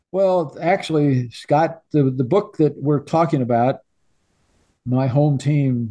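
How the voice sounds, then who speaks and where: Somewhat breathy and dark, mellow in tone, a man with a Midwestern US accent speaks very slowly at a fairly high pitch with ordinary pitch variation. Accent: US Midwest. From Illinois. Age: 80s+. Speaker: sportswriter and author. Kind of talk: interview. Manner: halting.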